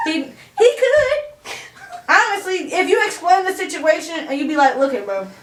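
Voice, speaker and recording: Extremely high-pitched, a woman talks at a moderate pace with very wide pitch swings, and audible room echo surrounds her voice. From Chicago, US Midwest. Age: 20s. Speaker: interview guest. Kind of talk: casual interview chat.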